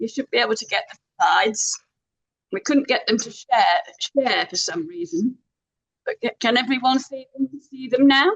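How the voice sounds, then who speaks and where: This woman has a high pitch, very wide pitch swings and big swings in loudness. Her pace is moderate. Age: 70s. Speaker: environmental activist and author. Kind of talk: webinar interview. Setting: video call. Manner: halting, with repetitions.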